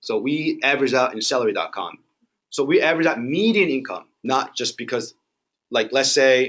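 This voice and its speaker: At a moderate pace, a man speaks with lively intonation at a medium pitch. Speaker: mortgage lender. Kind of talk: training presentation. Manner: loud.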